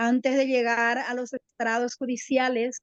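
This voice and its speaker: A woman talks at a very slow pace. Her voice is high-pitched. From Paraguay. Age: 60s. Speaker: lawyer and retired teacher. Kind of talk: TV interview.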